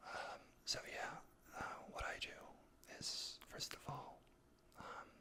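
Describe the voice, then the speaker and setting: Someone is whispering. The pace is very slow. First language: not English. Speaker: ASMR creator. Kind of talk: casual self-help talk. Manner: halting; slow, soft-spoken.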